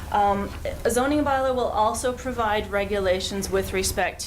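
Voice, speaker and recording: With a Canadian accent, a woman speaks amid audible room echo and noticeable background noise. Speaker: urban planning consultant. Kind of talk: council presentation. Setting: council chamber meeting.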